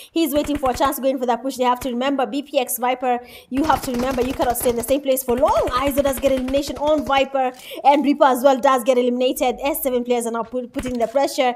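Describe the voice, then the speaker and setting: A woman speaks in a high pitch with an animated tone at a very fast pace. Noticeable background noise runs underneath. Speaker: esports caster. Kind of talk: live commentary.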